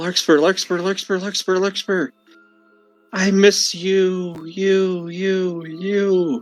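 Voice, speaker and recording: Faint music plays behind a put-on character voice at a middle pitch. The delivery is very slow. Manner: scared, longing.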